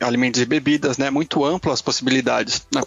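With fairly even intonation, a man talks at a medium pitch over noticeable background noise. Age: 20s. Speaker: product manager. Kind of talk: casual chat.

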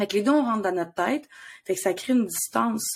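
The speech has lively intonation at a fairly quick pace. It is a very clean recording with a silent background. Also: woman. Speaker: podcast co-host and therapist. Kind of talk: casual chat.

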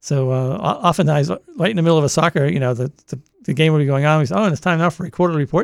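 Speaking very fast with a Boston accent, a man uses a fairly high pitch and ordinary pitch variation, and the sound is dry and close with no echo. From Massachusetts, Boston area. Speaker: radio host. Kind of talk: casual interview chat. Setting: studio.

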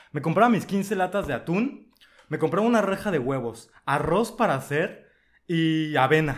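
Using lively intonation, a man speaks at a high pitch. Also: fairly slow pace. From Mexico, Veracruz coast. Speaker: podcast guest. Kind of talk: casual chat.

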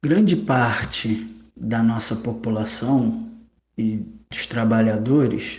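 A somewhat breathy man's voice at a very slow pace, with ordinary pitch variation and audible room echo. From Rio de Janeiro state, Brazil. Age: 30s. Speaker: public administrator and cultural museum head. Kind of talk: interview.

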